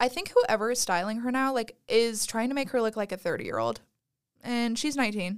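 A woman has an ordinary speaking voice. Her pitch is fairly high and her intonation lively. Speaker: college student podcast co-host. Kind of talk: casual chat.

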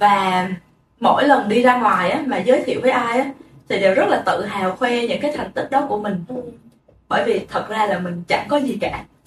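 A woman with a normal speaking voice talks at a fairly quick pace in a fairly high pitch. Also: ordinary pitch variation. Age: 20s. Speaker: podcast co-host. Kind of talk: casual chat.

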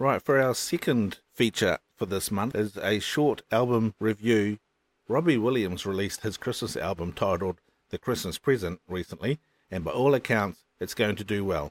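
A man speaks with a New Zealand accent at a fairly low pitch and a moderate pace, with ordinary pitch variation. The recording is very clean, with a silent background and a dry, close sound with no echo. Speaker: podcast host. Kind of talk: upbeat radio DJ patter, cheerful lead-in to a song segment. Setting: home recording, fan running in background. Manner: chatty, warm, enthusiastic.

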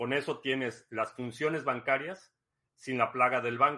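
With a Mexican accent, a man speaks in a bright, sharp tone with ordinary pitch variation on a very clean recording with a silent background. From Mexico. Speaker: livestream host. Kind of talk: casual livestream talk. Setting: live stream.

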